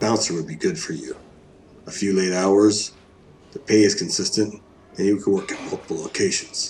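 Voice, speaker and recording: In a raspy, put-on character voice with a fairly low pitch, a man speaks at a moderate pace with long, frequent pauses. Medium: audio drama. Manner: curt, guarded.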